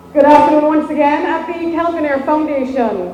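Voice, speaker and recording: Someone speaks loudly with music in the background. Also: woman. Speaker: media relations specialist. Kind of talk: ceremony speech. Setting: ceremony with PA microphone.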